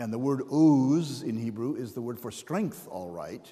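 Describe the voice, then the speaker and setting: A man with a dark, mellow tone speaks at a medium pitch with ordinary pitch variation, amid audible room echo. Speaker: pastor and Bible scholar. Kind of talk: lecture. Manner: animated.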